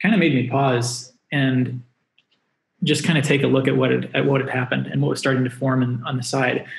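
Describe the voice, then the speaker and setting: A man speaks at a moderate pace with fairly even intonation and vocal fry. Audible room echo surrounds his voice. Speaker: remote guest. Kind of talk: interview answer. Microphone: video call.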